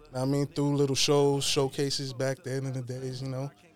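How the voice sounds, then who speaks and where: The speaker has a New York accent. Music plays in the background. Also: man. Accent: New York City. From Queens, New York. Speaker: hip-hop media personality. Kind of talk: casual chat. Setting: studio.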